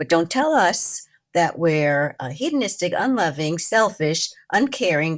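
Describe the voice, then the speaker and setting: A woman's voice with very wide pitch swings at a fairly slow pace. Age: 80s+. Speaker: childfree advocate and author. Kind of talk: interview.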